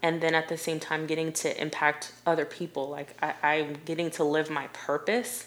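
Noticeable background noise sits under a woman with an American accent whose very deep, low voice holds a fairly even intonation. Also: moderate pace. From Ohio, US (Delaware, near Columbus). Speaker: portrait photographer. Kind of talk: podcast interview.

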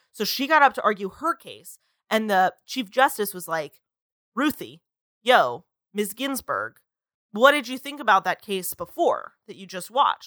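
Speaking at a moderate pace, this voice has lively intonation, a bright, sharp tone and big swings in loudness, recorded dry and close with no echo. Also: woman. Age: 20s. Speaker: podcast host. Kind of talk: casual chat.

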